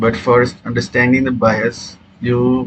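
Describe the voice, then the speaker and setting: Over noticeable background noise, a man with a non-native accent talks at a very slow pace. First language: not English. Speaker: trading educator. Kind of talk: tutorial. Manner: halting, many fillers.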